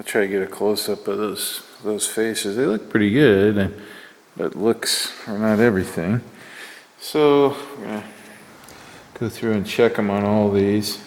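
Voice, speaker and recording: A man's fairly low voice at a moderate pace, with fairly even intonation and long, frequent pauses. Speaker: machinist tool reviewer. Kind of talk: workshop tutorial. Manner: mumbling; halting.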